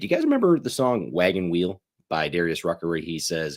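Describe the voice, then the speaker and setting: On a very clean recording with a silent background, a man with an American accent and a very deep, low voice sounds animated at a moderate pace. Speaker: sports betting show host. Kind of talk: casual livestream picks talk. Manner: loud.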